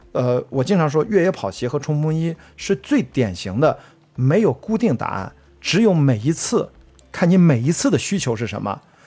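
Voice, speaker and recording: A man at fairly high pitch and moderate pace, with very wide pitch swings and music in the background. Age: 40s. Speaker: trail runner and film producer. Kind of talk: casual interview chat.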